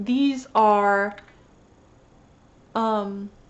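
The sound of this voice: Intonation is fairly even. The pace is very slow. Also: woman, medium pitch for a woman.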